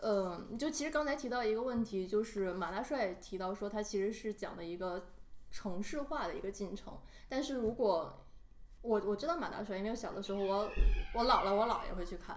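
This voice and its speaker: A woman's fairly quick speech amid noticeable background noise and audible room echo. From Northeast China. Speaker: podcast co-host. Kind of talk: casual chat.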